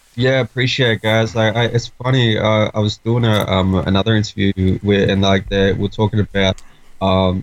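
His voice sits fairly low for a man. The intonation he uses is fairly even. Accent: Australian. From Australia (Sydney). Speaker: rapper. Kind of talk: casual chat. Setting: remote call.

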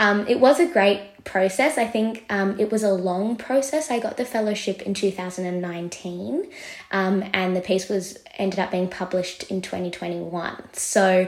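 With an Australian accent, a woman at medium pitch speaks at a fairly slow pace with ordinary pitch variation and hardly any pauses over noticeable background noise. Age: 20s. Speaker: journalist. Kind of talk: interview.

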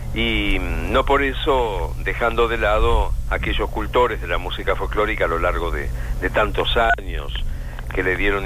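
The room echo is audible and the background noise noticeable as a man talks at a moderate speed. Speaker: radio broadcaster. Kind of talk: interview. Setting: phone call.

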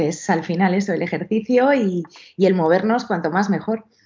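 This woman's pitch moves in an ordinary way. She talks at a moderate speed. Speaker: personal trainer. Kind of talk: interview. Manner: halting.

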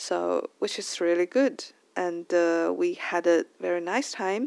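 With a Chinese accent, a woman talks at a very slow pace in a dry, close sound with no echo. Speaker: podcast host. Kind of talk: casual monologue. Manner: halting.

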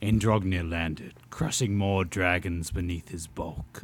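In a put-on character voice, a man talks at a fairly slow pace with a very deep, low pitch and fairly even intonation. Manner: epic, grand narrator.

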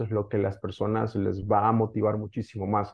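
Somewhat breathy and fairly low-pitched, a man speaks in a monotone with flat intonation. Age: 30s. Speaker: digital entrepreneur. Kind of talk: interview.

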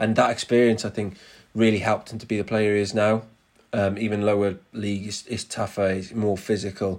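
With a Cardiff accent, a man talks fairly quickly in a fairly low, monotone, flat voice on a very clean recording with a silent background. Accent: Cardiff Welsh English. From Wales, Cardiff. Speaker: presenter and music artist. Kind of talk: casual chat.

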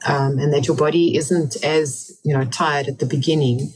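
Over music in the background, a woman speaks at a fairly quick pace. Her pitch is very deep and low, with ordinary pitch variation. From England. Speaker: author and ultramarathon runner. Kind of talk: interview.

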